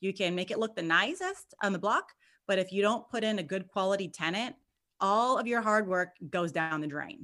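On a very clean recording with a silent background, a woman with a Californian accent talks at a moderate pace and medium pitch, bright and sharp in tone, energetic, with ordinary pitch variation. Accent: Californian American English. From Southern California. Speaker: real estate investor. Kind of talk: interview.

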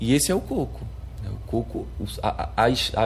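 Noticeable background noise and audible room echo around a man's speech. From Arcoverde, Pernambuco sertão, Brazil. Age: 20s. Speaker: samba de coco master and activist. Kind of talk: interview testimony. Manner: halting, with frequent repetitions.

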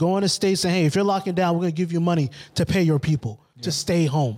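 A man speaks at a very fast pace in a high-pitched voice. His pitch varies in an ordinary way. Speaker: podcast host. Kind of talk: casual banter podcast chat.

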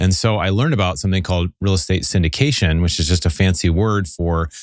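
A man talks at a very fast pace. His pitch is very deep and low, over a quiet background. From Seattle, Pacific Northwest US. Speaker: real estate investor and podcast host. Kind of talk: casual interview chat. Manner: fast talker.

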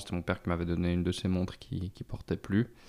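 A man's very deep, low voice at a fairly quick pace, in a very clean recording with a silent background. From Switzerland, Lausanne. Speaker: vintage watch dealer. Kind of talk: casual interview chat.

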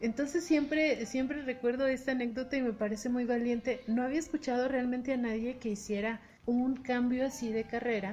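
A woman with a Mexican accent speaks at a high pitch and a fairly quick pace, with fairly even intonation and very even loudness. Background noise is noticeable. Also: hardly any pauses. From Mexico, Bajío. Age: 30s. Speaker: podcast co-host. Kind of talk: interview.

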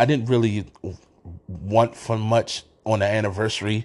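At a moderate pace, a man with an American accent talks at a medium pitch. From Washington, D.C. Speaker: sports podcast host. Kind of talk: casual monologue. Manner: halting, many fillers and restarts.

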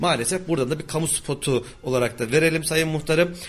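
A man speaks at a very fast pace with ordinary pitch variation. His voice is somewhat breathy. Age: 40s. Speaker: radio host. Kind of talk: radio interview.

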